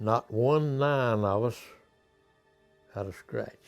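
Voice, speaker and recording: Music plays behind a man with a North Carolina accent who speaks at medium pitch with ordinary pitch variation. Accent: Southern US (North Carolina). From Clayton, North Carolina. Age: 80s+. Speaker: war veteran, mule dealer. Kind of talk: interview answer, reminiscence.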